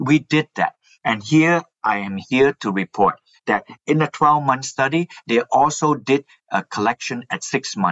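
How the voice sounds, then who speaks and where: A man talks in an ordinary speaking voice at a medium pitch. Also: lively intonation, fairly slow pace. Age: 60s. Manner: explanatory, says 'like that' often.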